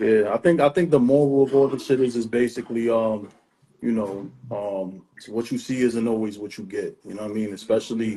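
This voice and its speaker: Speaking at a fairly quick pace in a New York accent, a man with a medium pitch shows ordinary pitch variation. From New York City. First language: Spanish. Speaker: podcast host. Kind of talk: casual chat. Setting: Instagram live stream.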